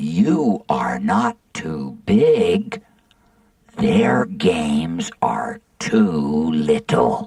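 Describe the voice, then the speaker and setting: Growling in a put-on character voice, a woman speaks at a very slow pace. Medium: read story. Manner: slow, gentle.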